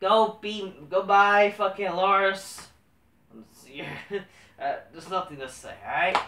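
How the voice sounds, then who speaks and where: In a room with audible echo and light background noise, a man speaks in a raised, projected voice at a high pitch, very slowly, with ordinary pitch variation. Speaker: wrestling commentary vlogger. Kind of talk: casual solo commentary. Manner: rambling, profane, halting. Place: home room. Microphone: camera far.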